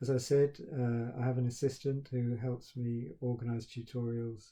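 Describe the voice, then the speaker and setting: A dark, mellow, somewhat breathy voice with a British accent. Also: man. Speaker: university professor. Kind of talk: recorded talk to students. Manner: halting, with stammered repetitions; flat, expressionless.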